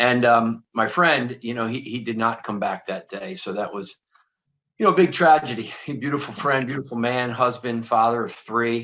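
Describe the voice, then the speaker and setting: Bright and sharp in tone, the speaker talks at a moderate pace in a Philadelphia accent. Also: man, medium pitch for a man, ordinary pitch variation. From Philadelphia area, US. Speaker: author and motivational speaker. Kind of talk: interview.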